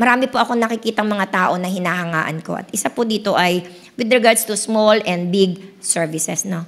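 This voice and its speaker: A woman talks at a medium pitch and a moderate pace, with ordinary pitch variation. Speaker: pastor. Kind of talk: sermon.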